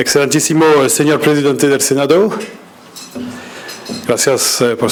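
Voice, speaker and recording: A man with a French accent, with audible room echo and noticeable background noise. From France. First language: French (speaking Spanish). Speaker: ambassador. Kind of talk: speech reading. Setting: business breakfast in hotel event room. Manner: hesitant with many fillers.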